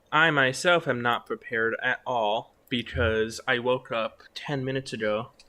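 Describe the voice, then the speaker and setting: Speaking quietly at a fairly slow pace, the man has a bright, sharp tone. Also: medium pitch for a man, fairly even intonation. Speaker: esports caster. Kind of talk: live commentary. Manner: quiet, inside voice.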